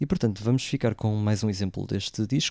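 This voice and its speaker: A man speaks at a moderate pace with a fairly low pitch and ordinary pitch variation. The sound is dry and close with no echo. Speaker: radio host. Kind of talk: radio music show presenting. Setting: live radio broadcast away from home. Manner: hesitant, many fillers. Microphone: different equipment, voice sounds distorted.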